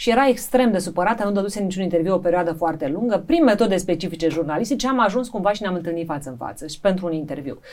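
Over noticeable background noise, a woman at a medium pitch speaks very fast with lively intonation and hardly any pauses. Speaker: journalist and TV presenter. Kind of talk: casual interview.

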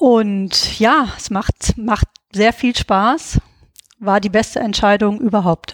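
The speech comes at a very slow pace with ordinary pitch variation. The sound is dry and close, with no echo. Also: woman, fairly high pitch for a woman. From Hesse, Germany (Gießen). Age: 40s. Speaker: veterinarian and founder of an online training platform. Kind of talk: interview.

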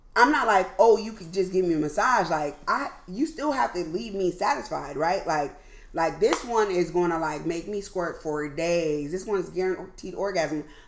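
With lively intonation and hardly any pauses, a woman with an American accent speaks at a medium pitch and a moderate pace over noticeable background noise. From US West Coast, Oakland. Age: 40s. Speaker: podcast host. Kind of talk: casual chat.

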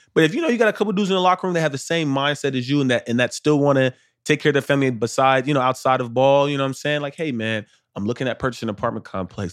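Energetic and very fast, a man with an American accent speaks at medium pitch with ordinary pitch variation in a very clean recording with a silent background. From Arlington, Texas. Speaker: professional football player. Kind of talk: casual interview. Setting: in Dallas, away from usual studio.

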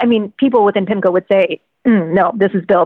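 An ordinary speaking voice from a woman at medium pitch, fairly quick in pace, with ordinary pitch variation. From Virginia, US. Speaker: financial journalist and author. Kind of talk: interview conversation.

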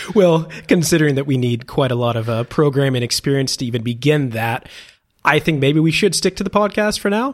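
Lively in intonation, a man talks at a fairly quick pace. He has an ordinary speaking voice with fairly high pitch. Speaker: podcast co-host. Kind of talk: casual chat.

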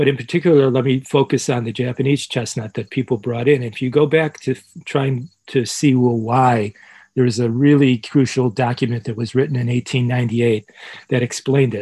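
With an American accent, a man speaks at a moderate pace in a medium pitch, his tone dark and mellow, somewhat breathy, with fairly even intonation and a dry, close sound with no echo. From Chicago, US Midwest. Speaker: professor. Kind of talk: interview.

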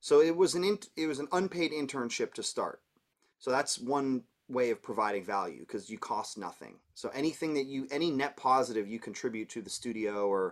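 Using an ordinary speaking voice, a man with a Canadian accent talks at a medium pitch and moderate pace with lively intonation, in a very clean recording with a silent background. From Canada, Toronto. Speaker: music producer and mix engineer. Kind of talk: casual interview.

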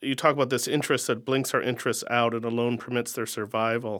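Fairly quick and fairly even in intonation, a man speaks in an ordinary speaking voice. His pitch is medium and he has an American accent. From Nebraska, US. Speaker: poet interviewer. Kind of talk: interview conversation.

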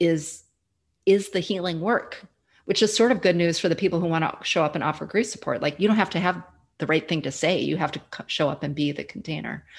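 A woman uses a plain, everyday voice at a fairly low pitch, moving at a fairly quick pace with ordinary pitch variation on a very clean recording with a silent background. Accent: American. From US Midwest. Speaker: grief educator and former social worker. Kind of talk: casual interview conversation.

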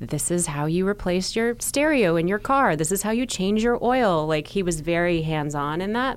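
This woman has a plain, everyday voice, fairly low in pitch, with lively intonation. She speaks at a moderate pace with hardly any pauses. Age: 40s. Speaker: journalist and TV host. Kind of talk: casual chat. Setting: studio.

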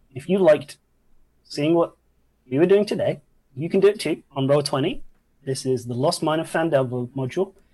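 This man's voice has a dark, mellow tone and a fairly high pitch, sounds somewhat breathy, and moves at a moderate pace with ordinary pitch variation. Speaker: dungeon master of a tabletop game stream. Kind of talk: tabletop role-play narration and casual chat. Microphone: new mic, sounds crisp.

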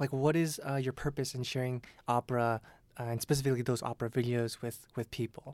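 A man at medium pitch races along at a very fast pace in a flat monotone, the sound dry and close with no echo. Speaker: podcast host. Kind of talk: casual interview chat.

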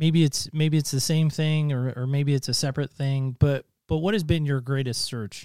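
A man uses a normal speaking voice, pitched fairly high, at a moderate pace. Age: 40s. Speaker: podcast host. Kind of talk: casual interview chat.

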